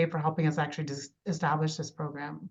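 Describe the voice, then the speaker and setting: A woman speaks at a very fast pace in a flat, monotone delivery. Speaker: extension educator / course instructor. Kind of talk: online lecture.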